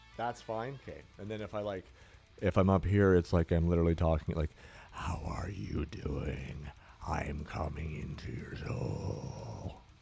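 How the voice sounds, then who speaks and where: A man's very deep, low voice with lively intonation at a fairly slow pace, over noticeable background noise. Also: big swings in loudness. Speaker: fitness streamer. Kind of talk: casual chat. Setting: home gym. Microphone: new mic, testing gain and distance.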